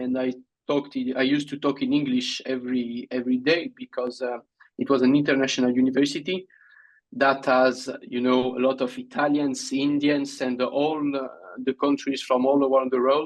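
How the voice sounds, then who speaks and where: A man with a French accent talks at a moderate pace. His fairly high pitch stays monotone, with flat intonation. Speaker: Olympic fencer. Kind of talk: interview. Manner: halting.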